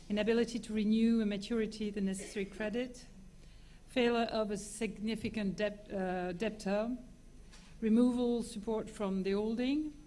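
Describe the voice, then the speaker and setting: A woman with a French accent, monotone, flat intonation and moderate pace, with audible room echo. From France. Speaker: lawyer. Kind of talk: conference talk. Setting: conference with audience. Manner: halting, many fillers.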